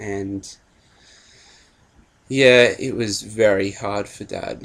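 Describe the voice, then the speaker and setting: A man speaks in a fairly low pitch with an Australian accent. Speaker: vlogger. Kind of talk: personal story vlog. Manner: hesitant, many fillers.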